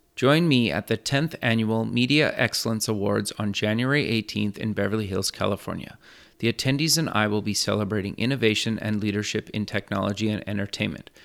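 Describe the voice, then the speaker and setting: A man with a plain, everyday voice talks at a fairly quick pace in a fairly low pitch, with ordinary pitch variation, on a very clean recording with a silent background. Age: 30s. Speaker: podcast and radio host. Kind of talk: scripted intro; interview.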